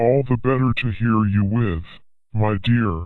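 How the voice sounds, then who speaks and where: A man puts on a character voice pitched in the medium range. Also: moderate pace. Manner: growling.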